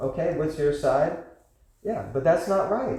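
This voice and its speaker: With an American accent, a man speaks at a moderate pace in a dark, mellow, somewhat breathy tone, and audible room echo surrounds him. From United States. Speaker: class teacher. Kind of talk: lecture with Q&A. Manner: animated.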